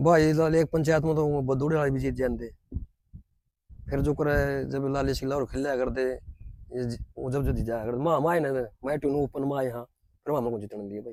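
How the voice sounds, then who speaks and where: A man with an unremarkable speaking voice talks at a moderate pace and medium pitch, his intonation fairly even. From Haryana. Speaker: former kabaddi player. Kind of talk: interview.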